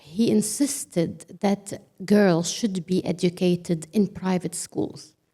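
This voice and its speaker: A woman's dark, mellow voice, medium in pitch, with ordinary pitch variation. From Lebanon. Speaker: ministry leader. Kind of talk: panel discussion.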